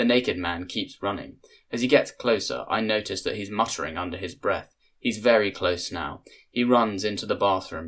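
The speaker uses plain reading aloud with ordinary pitch variation.

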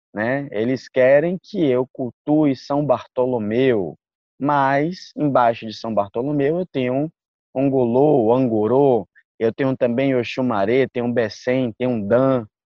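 An unremarkable speaking voice from a man, medium in pitch, fairly slow in pace, with ordinary pitch variation. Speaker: jurist and candomblé practitioner. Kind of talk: interview.

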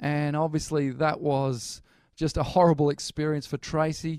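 A man speaks at a fairly high pitch with monotone, flat intonation and a moderate pace. The recording is very clean, with a silent background. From Australia, Newcastle NSW. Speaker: pastor. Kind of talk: sermon.

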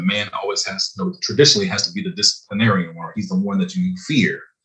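A man speaks in an American accent at a fairly quick pace. His voice is somewhat breathy, with very wide swings in pitch. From US, Los Angeles and the East Coast. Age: 40s. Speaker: truck driver and real estate agent. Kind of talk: casual chat.

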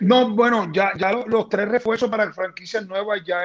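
With a Puerto Rican accent, a man speaks in a high pitch against noticeable background noise. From Puerto Rico, Toa Alta. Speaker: basketball general manager, former player. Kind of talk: interview.

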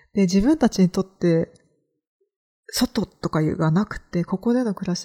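Somewhat breathy and dark, mellow in tone, a woman with a fairly low pitch and ordinary pitch variation is heard in a dry, close sound with no echo. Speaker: podcast host, freelance creator. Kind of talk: solo podcast monologue, casual.

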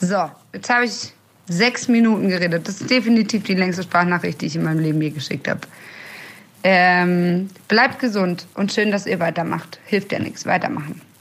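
A woman speaks in a normal speaking voice at medium pitch. Her pitch variation is ordinary and her pace moderate. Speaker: tour manager. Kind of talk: voice message.

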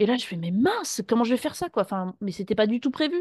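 A woman's fairly high voice, lively in intonation and fairly quick in pace, dry and close with no echo, against a quiet background. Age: 30s. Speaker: former pastry chef retraining as massage therapist. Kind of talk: interview testimony. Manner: halting.

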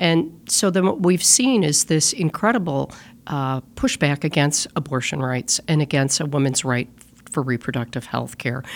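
A woman speaks in a very deep, low voice with an American accent. Her intonation is lively. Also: moderate pace. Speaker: state senator. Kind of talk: casual political discussion. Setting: studio.

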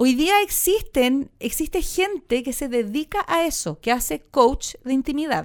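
Her voice high in pitch with lively intonation, a woman speaks at a fairly slow pace. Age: 40s. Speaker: actress. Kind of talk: casual interview. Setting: studio.

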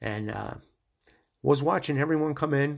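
A man speaks at a moderate pace with an American accent. The background is quiet. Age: 60s. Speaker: sports podcast host. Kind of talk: solo podcast monologue. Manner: enthusiastic.

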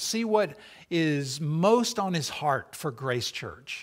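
A man's voice with very wide pitch swings on a very clean recording with a silent background. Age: 60s. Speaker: interim pastor. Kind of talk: sermon. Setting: church.

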